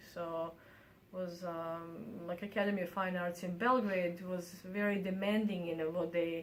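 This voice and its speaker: Speaking fairly slowly, a woman with a Bosnian accent uses a fairly low pitch and fairly even intonation. Audible room echo and noticeable background noise come through. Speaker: artist and university professor. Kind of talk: interview. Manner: halting, many fillers.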